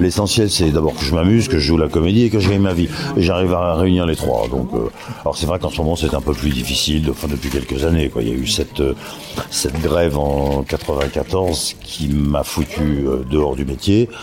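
A man's very deep, low voice with ordinary pitch variation over noticeable background noise. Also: moderate pace. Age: 60s. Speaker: voice actor. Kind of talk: interview. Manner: halting.

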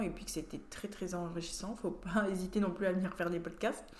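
A fairly low-pitched woman's voice at a fairly quick pace, with audible room echo. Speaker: rugby player and team captain. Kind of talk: casual interview.

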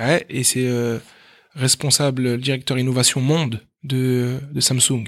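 Speaking at a very slow pace, a man with a medium pitch is heard on a very clean recording with a silent background. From France, Meaux (Paris suburbs). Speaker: math teacher and entrepreneur. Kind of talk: interview. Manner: animated; halting.

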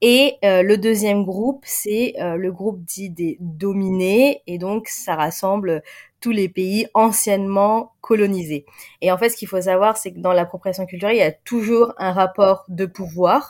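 On a very clean recording with a silent background, a woman speaks at a fairly slow pace and a medium pitch with ordinary pitch variation. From Paris suburbs, France. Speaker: content creator and diversity consultant. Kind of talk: interview conversation. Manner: hesitant, many fillers.

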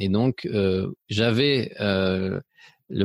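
A man's fairly low voice shows ordinary pitch variation on a very clean recording with a silent background. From Spain, then France and Belgium. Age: 40s. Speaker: photographer and painting teacher. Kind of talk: podcast interview. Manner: hesitant, many repetitions and fillers.

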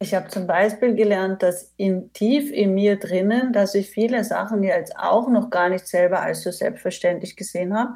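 With a dark, mellow tone, a woman speaks at medium pitch and a moderate pace. She barely pauses, and her intonation stays fairly even. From Austria. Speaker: managing director of a consultancy. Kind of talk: interview.

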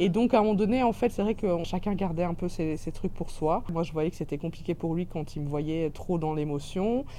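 At a moderate pace and with hardly any pauses, a woman speaks in a dark, mellow tone at a fairly low pitch. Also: ordinary pitch variation. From Belgium (childhood in Cameroon). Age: 30s. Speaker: restaurant owner. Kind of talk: interview.

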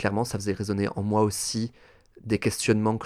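A man with a fairly low voice speaks fairly quickly in a monotone, flat intonation. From France, Toulouse. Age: 30s. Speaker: drag performer. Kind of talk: casual interview.

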